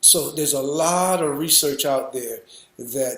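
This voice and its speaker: Speaking at a very slow pace with fairly even intonation, a man is heard with audible room echo. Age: 60s. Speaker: raw food chef and educator. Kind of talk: lecture. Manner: halting.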